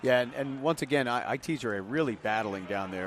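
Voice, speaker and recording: Noticeable background noise runs under the speech. The pitch variation is ordinary. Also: man. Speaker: color commentator for a basketball radio broadcast. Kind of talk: live basketball color commentary. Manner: conversational, animated.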